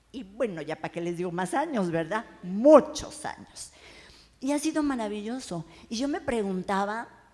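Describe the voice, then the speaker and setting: Speaking at a moderate pace, a woman uses lively intonation in a dark, mellow tone. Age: 60s. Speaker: writer and oral storyteller. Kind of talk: panel talk before audience. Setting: bar event with live audience. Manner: animated.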